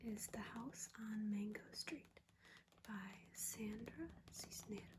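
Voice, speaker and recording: The speech comes as a whisper, delivered very slowly. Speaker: ASMR artist. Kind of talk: reading a book review aloud, ASMR. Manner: soft-spoken, relaxing.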